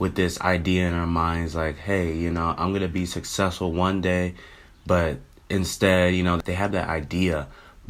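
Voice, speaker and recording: Very deep and low, a man's voice carries an American accent and a monotone, flat intonation. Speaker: YouTuber. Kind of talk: casual vlog monologue. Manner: casual, filler-heavy.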